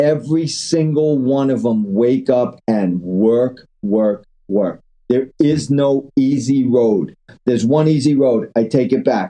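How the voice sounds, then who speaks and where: A man in a New York accent, medium-pitched, with a dark, mellow tone, very even loudness, ordinary pitch variation and a very slow pace. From New York City (Queens). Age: 60s. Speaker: angel investor. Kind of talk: interview, casual chat. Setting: phone call. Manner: animated.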